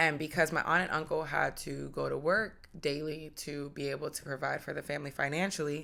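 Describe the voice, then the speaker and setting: A woman with an American accent speaks at a moderate pace in a very deep, low pitch with vocal fry, a bright, sharp tone and monotone, flat intonation, on a very clean recording with a silent background. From United States. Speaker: podcast host. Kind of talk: personal testimony.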